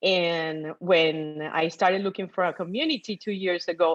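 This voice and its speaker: A woman speaks with a Colombian accent. Her pitch is medium and her pace moderate. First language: Spanish. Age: 50s. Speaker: guest sharing investing story. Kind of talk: testimony. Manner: animated.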